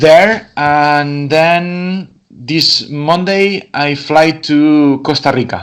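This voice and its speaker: A man speaks very slowly with a Spanish accent. His fairly high voice stays fairly even in intonation. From Catalonia, Spain. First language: Spanish or Catalan. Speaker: wine export manager. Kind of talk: interview. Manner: halting, repetitive.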